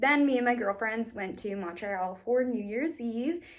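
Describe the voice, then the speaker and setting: Lively intonation runs through a woman's speech. She keeps a fairly slow pace. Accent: American. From Massachusetts. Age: 20s. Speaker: beauty vlogger. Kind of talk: casual chat. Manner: animated.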